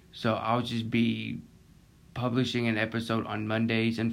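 A man's medium-pitched voice in an American accent, fairly slow with monotone, flat intonation, amid audible room echo. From Florida Panhandle. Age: 20s. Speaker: podcast host. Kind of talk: casual monologue.

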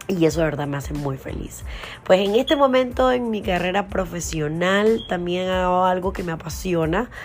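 Music plays in the background and audible room echo surrounds a woman speaking at a moderate pace. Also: medium pitch for a woman, lively intonation. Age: 30s. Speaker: podcast host and TV presenter. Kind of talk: casual monologue.

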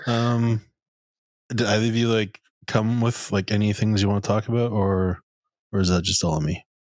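A man talks in a normal speaking voice at a moderate pace, with very even loudness. His pitch is fairly low, with ordinary pitch variation. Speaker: podcast host. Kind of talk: casual chat.

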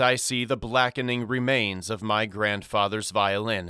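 A man talks at a fairly slow pace in an ordinary speaking voice, with ordinary pitch variation. The recording is very clean, with a silent background. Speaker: audiobook narrator. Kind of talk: literary audiobook reading, first-person scripted fiction narration. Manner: slow, measured, somber and atmospheric; wistful, hushed, with rising tension and grief.

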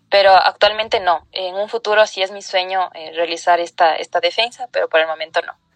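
In a normal speaking voice, the speaker moves at a fairly quick pace with fairly even intonation and big swings in loudness. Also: woman, medium pitch for a woman. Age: 20s. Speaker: lawyer and feminist activist. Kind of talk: interview.

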